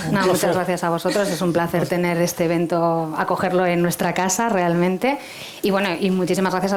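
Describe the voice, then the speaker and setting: A woman talks at a fairly quick pace with fairly even intonation. Noticeable background noise is present. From Spain, not the Canary Islands. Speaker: hotel director. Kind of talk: interview.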